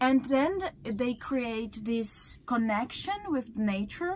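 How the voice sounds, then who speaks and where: A Brazilian Portuguese accent, very slow pace and lively intonation. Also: woman. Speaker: teacher and researcher. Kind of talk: interview. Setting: hotel restaurant in Italy. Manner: halting.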